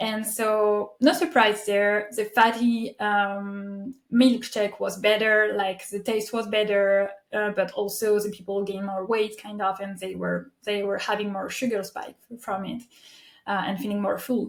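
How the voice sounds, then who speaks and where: In a French accent, the speaker goes at a fairly slow pace with fairly even intonation. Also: woman, medium pitch for a woman. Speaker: podcast host. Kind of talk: interview conversation. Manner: halting.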